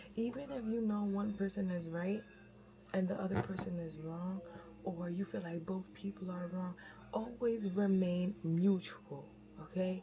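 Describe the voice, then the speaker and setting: Noticeable background noise sits behind the clip. In it, a woman whispers, taking a fairly slow pace. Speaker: vlogger. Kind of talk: casual religious advice talk. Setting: kitchen at home. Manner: whispering; usually loud.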